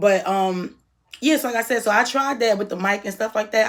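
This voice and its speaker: Loud and at a very fast pace, a woman talks at medium pitch with ordinary pitch variation. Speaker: YouTuber. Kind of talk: casual vlog monologue. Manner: halting.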